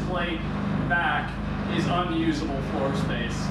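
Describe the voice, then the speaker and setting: The man speaks at a very slow pace. Loud background noise and audible room echo fill the recording. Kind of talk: casual build vlog explanation. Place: workshop. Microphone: camera far.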